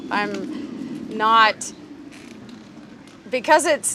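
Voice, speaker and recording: Against noticeable background noise, a woman with an American accent speaks in a raised, projected voice at a high pitch. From Wisconsin, US Upper Midwest. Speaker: biologist. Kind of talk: public talk. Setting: outdoors, hot day.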